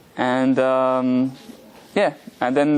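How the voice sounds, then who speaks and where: The speaker has a French accent. Noticeable background noise runs underneath. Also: man. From France. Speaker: rabbi, religious teacher. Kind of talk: lecture. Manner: hesitant, many fillers.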